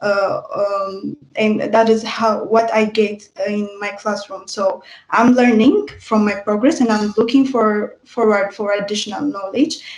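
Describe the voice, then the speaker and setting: A woman speaks with a non-native accent at a fairly high pitch. Her pace is fairly slow and her intonation fairly even. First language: not English. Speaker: university student. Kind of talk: student testimony in online info session. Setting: livestream. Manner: halting, many filler sounds.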